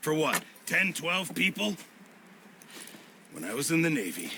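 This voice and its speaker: Over clear background noise, a man does a put-on character voice that is raspy and fairly high-pitched, moving at a moderate pace with lively intonation. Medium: video game.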